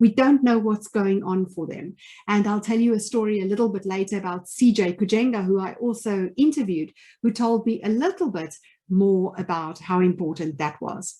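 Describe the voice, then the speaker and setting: In a South African accent, a woman speaks at a moderate pace with a dark, mellow tone, medium pitch, and ordinary pitch variation. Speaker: leadership trainer and former finance executive. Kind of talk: webinar presentation. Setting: online webinar.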